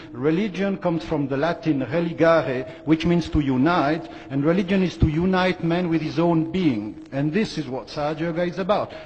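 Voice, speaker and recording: A man's fairly high voice at a moderate pace, with hardly any pauses, amid noticeable background noise. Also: ordinary pitch variation. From Western country. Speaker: conference speaker. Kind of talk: conference talk.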